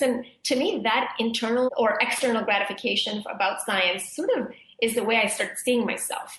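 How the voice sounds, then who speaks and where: A woman speaks over noticeable background noise. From Zambia, then small-town Canada from age eight. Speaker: professor and speech scientist. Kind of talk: interview.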